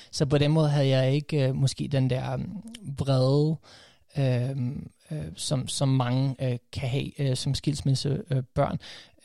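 A man's very slow, fairly even delivery at a medium pitch, with a dark, mellow tone and a dry, close sound with no echo. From USA (half American, first 12 years), then Denmark. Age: 30s. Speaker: coach and podcaster. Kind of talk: casual interview. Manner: halting, many fillers.

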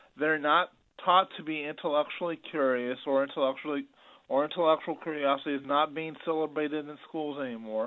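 Here is a plain, everyday voice from a man at a fairly high pitch. He talks at a fairly quick pace with fairly even intonation. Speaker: caller. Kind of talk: call-in radio. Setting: phone call.

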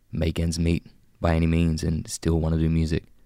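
A very deep, low male voice in a very clean recording against a silent background. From Australia, mid-North Coast NSW (Bowraville). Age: young. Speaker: rapper. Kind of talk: interview. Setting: radio studio.

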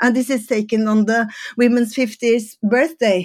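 A woman with a Norwegian accent talks at a fairly slow pace. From Norway. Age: 60s. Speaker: photographer and former fashion designer. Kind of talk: casual interview chat.

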